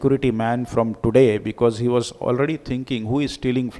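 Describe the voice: Fairly even intonation throughout a plain reading aloud.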